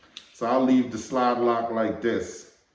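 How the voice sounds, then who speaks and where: Fairly slow speech from a man, with audible room echo and noticeable background noise. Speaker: firearms channel host. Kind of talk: casual vlog talk to camera.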